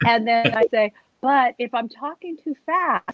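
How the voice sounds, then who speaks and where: Pitch varies in an ordinary way. The tone is animated. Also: woman. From US Northeast, Bethlehem, Pennsylvania. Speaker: nurse and comedian. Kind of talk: interview. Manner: fast.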